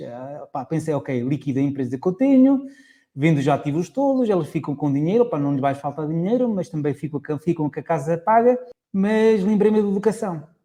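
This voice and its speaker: With a dark, mellow tone, a man talks at a fairly quick pace in a high voice that swings very widely in pitch over a quiet background. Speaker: investor and author. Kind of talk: podcast interview. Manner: animated.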